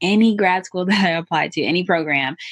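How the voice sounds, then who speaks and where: A woman talks in a plain, everyday voice. Her pitch varies in an ordinary way. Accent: American. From US South, Atlanta. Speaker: real estate investor. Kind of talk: interview.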